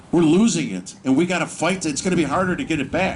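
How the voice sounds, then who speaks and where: With an American accent, a man speaks very fast in an animated tone over noticeable background noise. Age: 60s. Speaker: political activist speaker. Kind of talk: rally speech.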